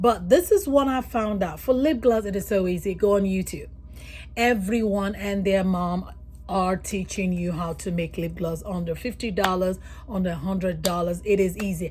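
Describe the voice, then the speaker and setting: A woman speaks at a moderate pace with a somewhat breathy, medium-pitched voice. Her pitch varies in an ordinary way. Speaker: nurse and beauty business vlogger. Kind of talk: casual vlog tutorial.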